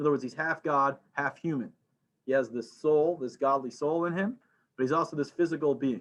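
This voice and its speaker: A man's fairly high voice moves at a fairly quick pace, its pitch varying in an ordinary way. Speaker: religious teacher. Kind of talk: lecture. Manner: fast; halting, many fillers.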